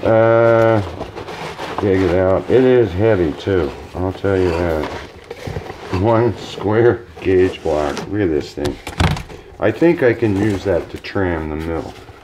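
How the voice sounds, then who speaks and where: A man with a very deep, low pitch speaks at a very slow pace with long, frequent pauses and ordinary pitch variation over noticeable background noise. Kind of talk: casual vlog chat. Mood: pleased, laughing. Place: workshop. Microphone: camera far.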